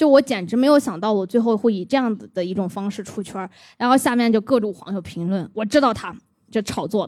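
Speaking at a fairly quick pace in an unremarkable speaking voice, a woman with a fairly high pitch and ordinary pitch variation shows big swings in loudness. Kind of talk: casual chat.

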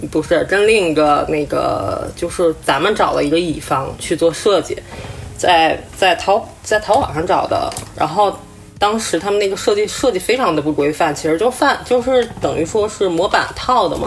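A woman speaks with lively intonation. Background noise is noticeable. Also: medium pitch for a woman, moderate pace. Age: 30s. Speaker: breast cancer survivor. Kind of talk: casual chat. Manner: crying.

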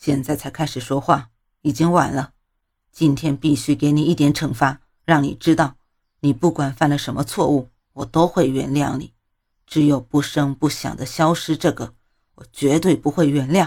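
A hoarse, put-on character voice sits at a low-to-middle pitch and moves at a moderate pace. The recording is very clean, with a silent background. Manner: firm, uncompromising.

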